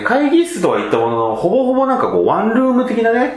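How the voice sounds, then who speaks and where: Noticeable background noise and audible room echo fill the recording. A man speaks very fast within it. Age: 20s. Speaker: podcast host. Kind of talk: casual chat. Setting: rented meeting room in Ikebukuro.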